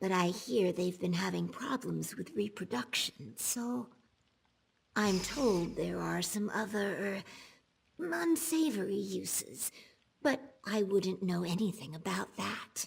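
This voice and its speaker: In a put-on character voice, a female-sounding speaker talks at a fairly slow pace with a medium pitch. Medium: video game. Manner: chatty.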